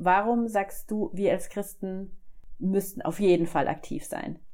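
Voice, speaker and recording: A woman talks in a normal speaking voice. Her pitch is medium. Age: 40s. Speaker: podcast host. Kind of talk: interview.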